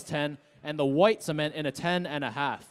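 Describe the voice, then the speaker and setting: Speaking at a moderate pace, a man has an unremarkable speaking voice pitched fairly high. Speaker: sneaker curator. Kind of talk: auction lot introduction.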